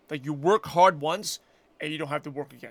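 In an American accent, a man talks at a fairly quick pace, recorded very cleanly with a silent background and a dry, close sound with no echo. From Brooklyn, New York. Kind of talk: casual interview chat. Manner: fast talker.

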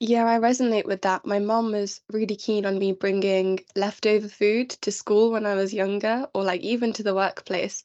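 Flat and monotone, a woman speaks at a medium pitch and a moderate pace with hardly any pauses. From London. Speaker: trainee patent attorney. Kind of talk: casual chat.

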